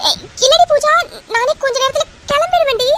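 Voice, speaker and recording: A woman uses a squeaky, cartoonish character voice at an extremely high pitch. Her intonation is lively and her pace moderate. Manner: flustered, stammering.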